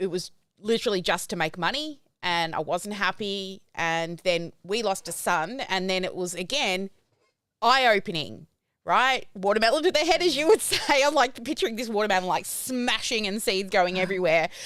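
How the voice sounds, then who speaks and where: Lively intonation runs through a woman's voice in an Australian accent. She speaks at a moderate pace with a medium pitch. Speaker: podcast host. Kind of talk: casual interview chat. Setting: live-streamed video podcast.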